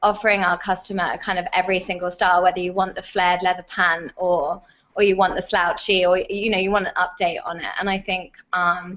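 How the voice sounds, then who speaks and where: Against a quiet background, a woman with a British accent talks at a fairly quick pace in a medium pitch, her intonation monotone and flat. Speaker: fashion retail executive. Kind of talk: casual chat.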